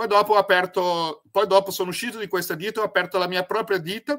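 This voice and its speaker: A man with a Brazilian accent speaks at a high pitch. His tone is bright and sharp against a quiet background. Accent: Brazilian Portuguese accent in Italian. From Brazil, Paraná, Italian-Mantuan family. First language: Portuguese (speaking Italian). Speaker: spiritual project founder, former lawyer; former lawyer. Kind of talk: interview testimony. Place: home room.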